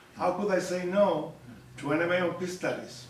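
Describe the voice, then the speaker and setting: High pitch from a man at a moderate pace, with noticeable background noise and audible room echo. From Argentina. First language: Spanish. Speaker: professor. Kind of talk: public talk. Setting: community center audience.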